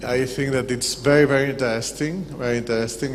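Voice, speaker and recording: In a non-native accent, a man of medium pitch speaks with audible room echo and noticeable background noise. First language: Spanish. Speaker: audience member asking questions. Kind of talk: Q&A comment. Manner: halting.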